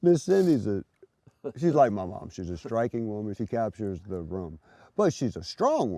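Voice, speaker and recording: A man speaks in a fairly low voice with a dark, mellow tone and very wide pitch swings. His loudness swings a lot, and the sound is dry and close with no echo. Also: moderate pace. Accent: Louisiana. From Louisiana, Lafayette. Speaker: good samaritan. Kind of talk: interview.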